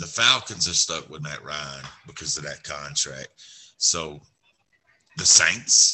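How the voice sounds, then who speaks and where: A man speaks very slowly in a very deep, low voice, with big swings in loudness, ordinary pitch variation, and long, frequent pauses. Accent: Southern US. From Alabama. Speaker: sports podcast co-host. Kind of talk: casual sports chat.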